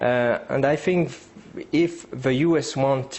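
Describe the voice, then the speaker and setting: With a French accent, a man talks at a medium pitch. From France. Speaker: geopolitics analyst. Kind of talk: interview. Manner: halting.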